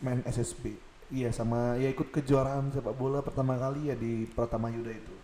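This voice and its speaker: Here a man at medium pitch speaks in a monotone with flat intonation. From Samarinda, East Kalimantan, Indonesia. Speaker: podcast co-host. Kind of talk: casual chat.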